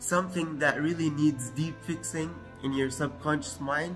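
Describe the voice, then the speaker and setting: The pace is fairly slow. Music sounds clearly behind the voice. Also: man. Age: 20s. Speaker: self-improvement youtuber; presenter. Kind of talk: tutorial. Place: kitchen.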